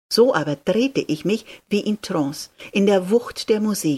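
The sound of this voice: The reading is done in an unforced voice.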